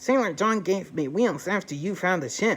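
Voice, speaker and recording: Moderately paced speech at a middle pitch in a put-on character voice. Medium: read story. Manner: earnest.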